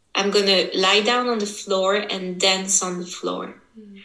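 The speech moves at a fairly slow pace with fairly even intonation. Room echo is audible. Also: woman. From French-speaking Switzerland. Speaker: women's embodiment coach. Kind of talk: interview. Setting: video call.

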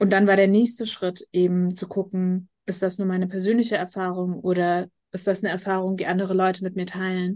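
A woman of medium pitch speaks at a fairly quick pace with hardly any pauses and flat, monotone intonation against a quiet background. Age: 20s. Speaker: nonprofit founder living with MS. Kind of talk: interview.

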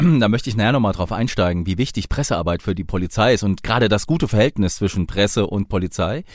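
A man with a slight southern Hessian accent talks at a very fast pace with lively intonation and hardly any pauses. The recording is very clean, with a silent background. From southern Hesse. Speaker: podcast host, police officer. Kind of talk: interview.

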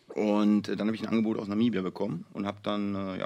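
A man talks at a very fast pace. His fairly low voice stays monotone, the intonation flat. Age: 40s. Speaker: football youth coach. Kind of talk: casual chat.

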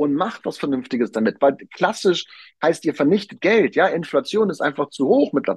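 The pitch swings very widely at a moderate pace. The sound is dry and close, with no echo. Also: man. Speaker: podcast host, real estate and finance advisor. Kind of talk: solo podcast monologue. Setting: on vacation on an island. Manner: animated.

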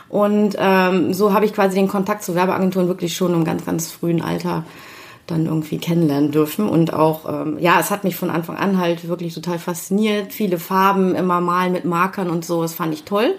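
A woman's fairly low voice at a fairly quick pace with fairly even intonation, plus audible room echo and noticeable background noise. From Germany, Düsseldorf. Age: 50s. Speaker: creative producer and network founder. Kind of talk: interview. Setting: conference room in a company showroom.

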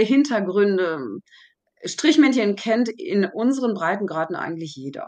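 A woman's voice swings very widely in pitch at a moderate pace. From Germany. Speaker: therapy method coach. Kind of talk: interview. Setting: remote call.

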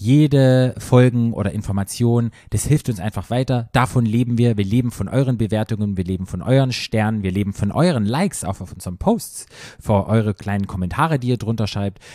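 Speaking in a normal speaking voice, a man keeps a medium pitch. His pace is fairly quick, with ordinary pitch variation. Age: 40s. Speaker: podcast co-host. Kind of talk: casual chat. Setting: studio on a couch.

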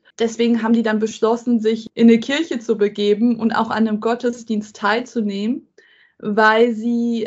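A woman's fairly high, somewhat breathy voice in a monotone, flat intonation at a moderate pace. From Germany. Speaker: tech entrepreneur and diversity advocate. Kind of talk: interview conversation. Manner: frequent filler hesitations.

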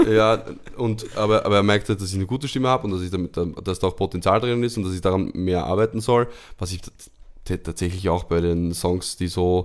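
A man talks at a fairly quick pace in a very deep, low pitch with ordinary pitch variation. The recording is very clean with a silent background. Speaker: podcast co-host and performer. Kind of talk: casual chat.

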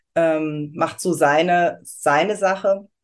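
This woman has an unremarkable speaking voice. Her pitch is fairly low, with ordinary pitch variation. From Germany, Aschaffenburg area (Lower Franconia/Hesse border). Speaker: astrology consultant. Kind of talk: interview.

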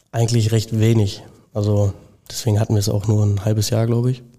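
A man's somewhat breathy voice at a medium pitch and fairly quick pace, dark and mellow in tone, with monotone, flat intonation. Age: young (19). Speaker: apprentice plumbing and heating fitter. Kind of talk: casual interview. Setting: company premises.

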